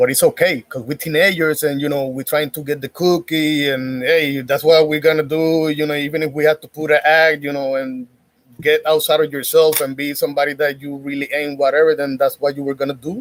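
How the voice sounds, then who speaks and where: Fairly quick, monotone, flat speech in a Spanish accent with hardly any pauses. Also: man, fairly high pitch for a man. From Puerto Rico. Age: 30s. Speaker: YouTuber giving dating commentary. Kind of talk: casual monologue.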